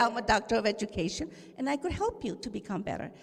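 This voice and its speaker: With a Spanish accent, a woman talks at a very fast pace in an animated tone and a fairly high pitch. Noticeable background noise sits behind her. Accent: Spanish-tinged. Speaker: educator, audience member. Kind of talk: audience comment.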